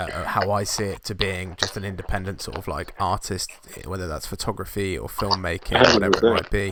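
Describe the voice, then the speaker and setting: Fairly even intonation in a British accent, with noticeable background noise. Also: man, fairly low pitch for a man, fairly quick pace, big swings in loudness. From UK. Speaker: podcast host, photographer. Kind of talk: casual interview chat. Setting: video call.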